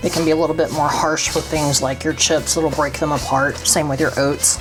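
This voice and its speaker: A woman speaks over music in the background. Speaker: home baker. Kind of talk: cooking tutorial.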